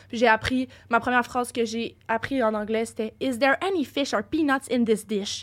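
A woman speaks at a high pitch with fairly even intonation. The recording is very clean, with a silent background. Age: young. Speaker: podcast guest. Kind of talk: casual chat.

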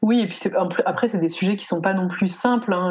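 A woman at medium pitch. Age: 30s. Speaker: founder of children's educational kits. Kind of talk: casual interview.

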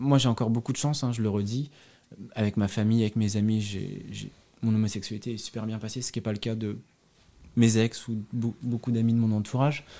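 At a fairly quick pace, a man with a dark, mellow tone is heard in a very clean recording with a silent background. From France, Loire Valley (Montbazon area). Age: 30s. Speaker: expatriate. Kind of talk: interview. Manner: hesitant, many fillers.

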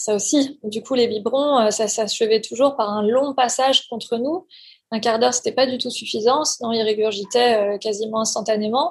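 A woman speaks at a moderate pace with a fairly high pitch and ordinary pitch variation. The background is quiet. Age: 40s. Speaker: parent giving testimony. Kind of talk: testimony. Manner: halting.

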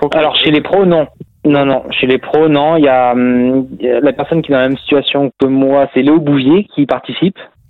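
Fairly even intonation at a moderate pace, with very even loudness. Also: man, fairly high pitch for a man. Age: 30s. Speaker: professional cyclist. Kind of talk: casual interview. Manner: halting, many repetitions.

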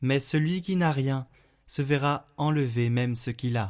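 Over a very clean recording with a silent background, a man talks at a medium pitch. His pace is very slow and his tone gentle and solemn. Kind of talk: fervent prayer, intercessory prayer and devotional reading. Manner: slow, solemn, reverent; gentle, heartfelt, intimate.

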